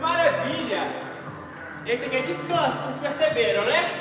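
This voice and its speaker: A man speaks in a raised, projected voice. There is noticeable background noise and strong room echo. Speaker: fitness instructor. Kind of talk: workout coaching cues. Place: gym.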